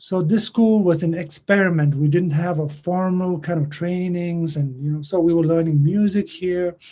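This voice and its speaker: Speaking with a Tibetan accent, a man uses a high pitch and a dark, mellow tone, with fairly even intonation, a moderate pace and hardly any pauses. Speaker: singer and songwriter. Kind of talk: interview. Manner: halting.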